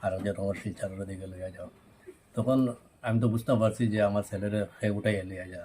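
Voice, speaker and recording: A man speaks at a fairly low pitch in a monotone, flat intonation. His loudness swings a lot. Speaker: father of detained youth. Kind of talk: press conference statement.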